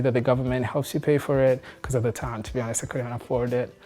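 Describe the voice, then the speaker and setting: Music plays behind a man's voice. His intonation stays fairly even. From Rwanda. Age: 20s. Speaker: web developer. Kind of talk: interview. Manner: hesitant, filler words.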